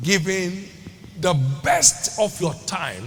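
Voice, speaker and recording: A man speaks at a very slow pace in a high pitch. Noticeable background noise can be heard. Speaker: preacher, church bishop. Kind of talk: sermon, preaching to a congregation. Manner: emphatic, teaching, rhythmic delivery.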